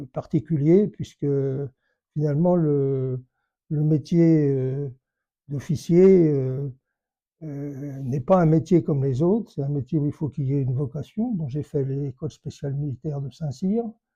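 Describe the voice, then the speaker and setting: Somewhat breathy and dark, mellow in tone, a man talks at a fairly slow pace and a fairly high pitch, with ordinary pitch variation and long, frequent pauses. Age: 80s+. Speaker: retired army general. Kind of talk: life story interview. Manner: halting, many hesitations.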